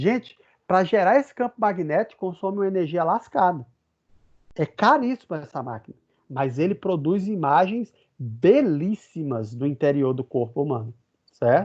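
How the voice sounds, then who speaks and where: In a northeastern Brazilian accent, a man with a high pitch speaks at a moderate pace with very wide pitch swings, the sound dry and close with no echo. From Brazilian Northeast. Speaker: physics professor. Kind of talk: lecture. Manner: conversational.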